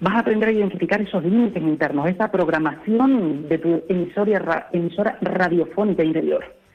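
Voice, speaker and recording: Against noticeable background noise, a man with a high pitch and ordinary pitch variation talks at a fairly quick pace with hardly any pauses and very even loudness. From Canary Islands. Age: 20s. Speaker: translator and interpreter. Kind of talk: interview.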